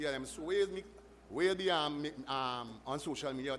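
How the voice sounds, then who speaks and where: Ordinary pitch variation marks a man's fairly high voice, which carries a Trinidadian accent at a moderate pace. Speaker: audience member at town hall. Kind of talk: public question at meeting. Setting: community hall with audience. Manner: halting.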